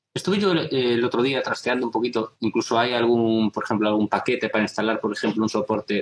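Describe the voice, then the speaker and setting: A man speaks in a plain, everyday voice at a medium pitch. He goes at a fairly quick pace, with ordinary pitch variation. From Galicia, Spain (A Guarda). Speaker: software developer. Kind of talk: casual chat. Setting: video call.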